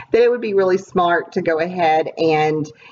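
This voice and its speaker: Against noticeable background noise, a woman talks at a moderate pace in a fairly low voice. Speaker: scrapbooker. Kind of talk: casual talk to camera.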